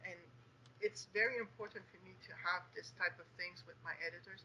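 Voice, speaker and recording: A woman speaks with a French Canadian accent. Her pace is moderate and her pitch varies in an ordinary way. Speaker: young adult author. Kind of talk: interview. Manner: hesitant, many fillers.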